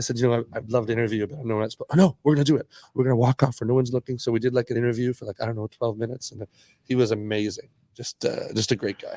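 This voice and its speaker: Speaking with a Canadian accent, a man talks at a very fast pace in a medium-pitched voice. His tone is dark and mellow, and the sound is dry and close with no echo. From Canada. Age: 60s. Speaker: skateboarder and entrepreneur. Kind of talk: casual podcast interview. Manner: animated storytelling.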